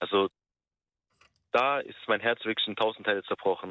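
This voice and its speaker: This man speaks at a moderate pace. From Turkish-German community. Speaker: caller. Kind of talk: phone-in call. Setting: phone call.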